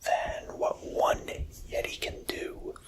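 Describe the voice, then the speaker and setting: Noticeable background noise runs under a whisper. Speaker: ASMR content creator. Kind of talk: ASMR show-and-tell talk to camera. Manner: whispered.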